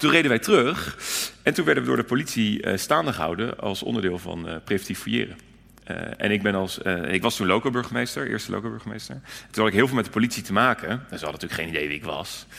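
A man with a fairly low pitch talks at a very fast pace, his bright, sharp tone marked by vocal fry and very wide pitch swings, on a very clean recording with a silent background. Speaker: city alderman. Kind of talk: live panel interview. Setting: stage with audience.

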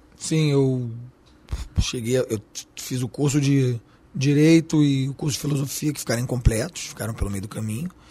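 A man's somewhat breathy voice at a medium pitch and moderate pace, with ordinary pitch variation and long, frequent pauses. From Switzerland. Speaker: chef and restaurateur. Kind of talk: interview. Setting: studio.

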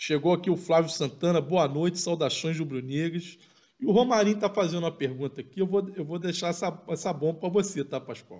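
Against a quiet background, this is an ordinary speaking voice. It moves at a moderate pace with ordinary pitch variation. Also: man. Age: 40s. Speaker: football podcast co-host. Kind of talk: live match analysis chat.

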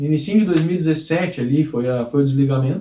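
Lively intonation colors a man's dark, mellow tone. He keeps a moderate pace. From rural Brazil. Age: 30s. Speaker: sales trainer and channel creator. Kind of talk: video monologue.

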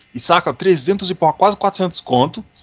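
A man with a high-pitched voice speaks while music plays in the background. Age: 30s. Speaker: podcast host. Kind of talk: casual chat. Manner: animated.

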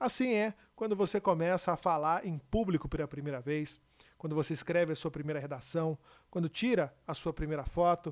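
On a very clean recording with a silent background, a man in an ordinary speaking voice talks at a moderate pace with a fairly high pitch and ordinary pitch variation. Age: 30s. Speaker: podcast host and TV/radio broadcaster. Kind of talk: motivational monologue.

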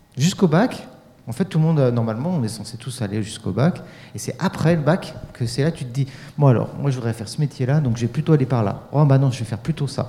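This man's pitch is medium. He speaks very fast. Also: ordinary pitch variation. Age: 40s. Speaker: youth radio workshop leader. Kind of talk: casual chat.

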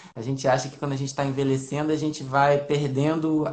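With audible room echo around him, a man talks at a fairly quick pace in a fairly high pitch. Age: 40s. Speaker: family doctor. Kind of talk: health Q&A interview. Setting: Instagram live video call.

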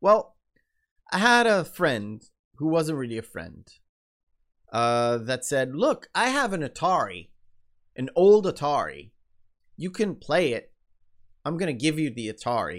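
A man with a fairly high pitch, very wide pitch swings, and long, frequent pauses. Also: fairly slow pace. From Israel. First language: Hebrew. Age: 30s. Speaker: podcast host and content creator. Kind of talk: solo storytelling monologue. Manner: rambling, many fillers.

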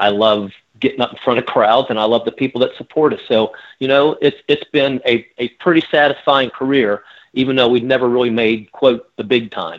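With an American accent, a man speaks at a fairly quick pace in an ordinary speaking voice with ordinary pitch variation. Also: medium pitch for a man. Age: 60s. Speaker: rock singer. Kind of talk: interview.

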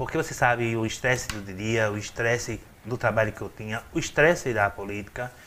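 A man with a medium pitch and a bright, sharp tone talks at a moderate pace with ordinary pitch variation. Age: 40s. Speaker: city councillor. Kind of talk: interview.

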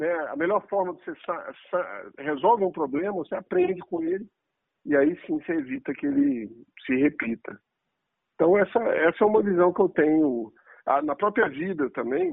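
A man speaks at a high pitch and a moderate pace, pausing long and often. His pitch swings very widely, and his loudness rises and falls a lot. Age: 40s. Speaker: engineer and business executive. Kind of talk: interview.

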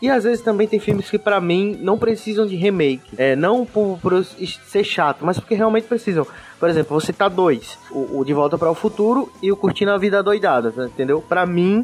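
A man talks with a high pitch for a man and lively intonation, his loudness very even and hardly any pauses. There is noticeable background noise. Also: moderate pace. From Brazil, interior of Pernambuco. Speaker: podcast host. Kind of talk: casual chat.

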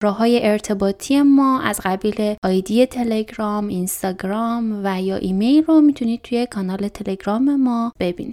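Speaking at a moderate pace with hardly any pauses, a woman's fairly high voice carries a dark, mellow tone and ordinary pitch variation, with a dry, close sound and no echo. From Iran, Chaharmahal and Bakhtiari. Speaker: podcast host. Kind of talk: scripted narration.

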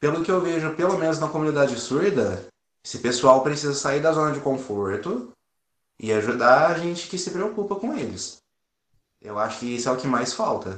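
Speaking at a moderate pace, a man has a fairly high pitch, lively intonation and an unremarkable speaking voice. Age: 20s. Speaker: firefighter and volunteer. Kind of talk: interview.

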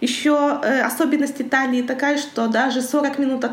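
Through noticeable background noise and audible room echo, a woman's high-pitched voice comes across. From Kazakhstan, Karaganda. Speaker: international trade professional. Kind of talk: interview.

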